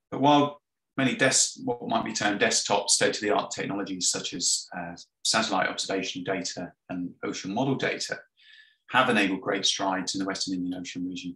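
This man talks at a very fast pace with a fairly low pitch and a bright, sharp tone. There is audible room echo, but the background is quiet. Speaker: marine robotics scientist. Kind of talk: conference presentation. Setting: video call. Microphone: webcam.

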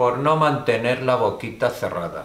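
Speaking fairly slowly, a man's voice carries audible room echo. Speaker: stage actor playing an interrogator. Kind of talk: theatrical dialogue. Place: stage.

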